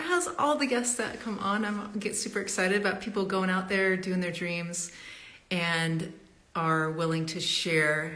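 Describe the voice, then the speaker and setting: A woman is speaking rather slowly. Background noise is clearly present. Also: medium pitch for a woman, ordinary pitch variation. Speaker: interviewer. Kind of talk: live interview host talk.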